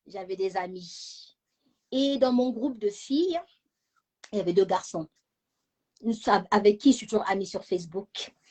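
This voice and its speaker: A somewhat breathy woman at a fairly slow pace with lively intonation. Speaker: channel founder, self-esteem talk host. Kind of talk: personal talk to live audience.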